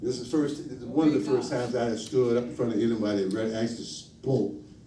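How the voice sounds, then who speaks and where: With noticeable background noise and audible room echo, a man speaks at a very fast pace, his medium pitch showing ordinary variation. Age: 60s. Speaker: lay minister. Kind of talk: sermon. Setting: church. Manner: halting.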